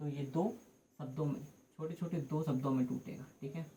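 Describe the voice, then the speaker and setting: With ordinary pitch variation, a man speaks in a dark, mellow tone. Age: 20s. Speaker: teacher. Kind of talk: lecture. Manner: hesitant, repetitive.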